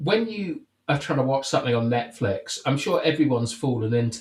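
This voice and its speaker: The speaker is a man who sounds somewhat breathy. He talks at a fairly quick pace. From England, countryside. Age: 30s. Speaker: podcast host. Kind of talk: casual chat. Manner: halting.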